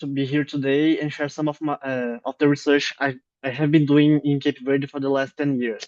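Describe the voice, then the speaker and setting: This man talks with a Portuguese accent at a fairly high pitch, his sound dry and close with no echo over a quiet background. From Brazil. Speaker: anthropologist. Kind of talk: academic lecture.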